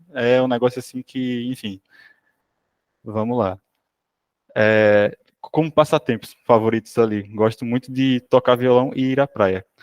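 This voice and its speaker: With a Sergipe accent, a man speaks at a fairly slow pace with fairly even intonation and long, frequent pauses, the sound dry and close with no echo. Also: medium pitch for a man. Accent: Sergipe northeastern Brazilian. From Sergipe, northeastern Brazil. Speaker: software developer. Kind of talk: self-introduction; technical presentation. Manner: hesitant, many fillers.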